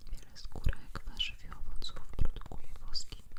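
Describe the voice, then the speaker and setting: A woman whispers very slowly as noticeable background noise fills the recording. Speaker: ASMR creator. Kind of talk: ASMR whisper. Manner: whispered, soft.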